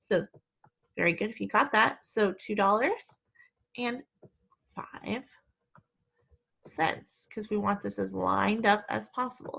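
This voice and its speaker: A woman talks with a Midwestern accent. Her pace is fairly slow. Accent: Midwest. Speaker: elementary school teacher. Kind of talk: tutorial. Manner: slow, clear teacher talk.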